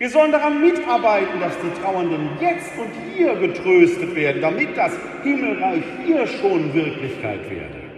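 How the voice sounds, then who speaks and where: Fairly slow speech from a man, with noticeable background noise behind it. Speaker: preacher. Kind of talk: sermon in church. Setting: church. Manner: formal yet conversational, with rhetorical questions and wry humor.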